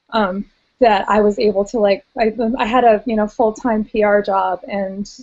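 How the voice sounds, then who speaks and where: A woman with an American accent has an unremarkable speaking voice. Her medium pitch stays fairly even as she speaks at a moderate pace. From United States. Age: 30s. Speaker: weight loss surgery patient. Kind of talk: casual chat.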